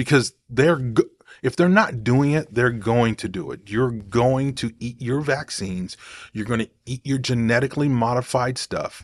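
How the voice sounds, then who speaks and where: On a very clean recording with a silent background, a man with an American accent speaks at a moderate pace and medium pitch with ordinary pitch variation, in a plain, everyday voice. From Oklahoma. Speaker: podcast host. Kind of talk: commentary monologue.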